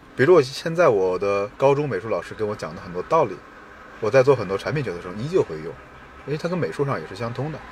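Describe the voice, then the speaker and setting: Against noticeable background noise, a man with a medium pitch talks very fast, with very wide pitch swings and big swings in loudness. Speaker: product manager. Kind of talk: casual chat. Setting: outdoors by a river.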